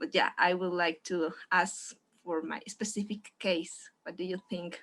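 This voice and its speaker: With a Spanish accent, a woman speaks at a medium pitch with ordinary variation. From Mexico. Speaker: audience member asking question. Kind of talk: audience question. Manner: halting.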